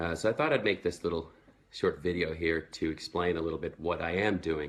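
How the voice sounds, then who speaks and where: Very deep, low male voice with an American accent, fairly quick and with fairly even intonation. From Sweden. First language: Swedish. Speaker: network marketing entrepreneur. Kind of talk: personal story vlog. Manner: casual, with fillers.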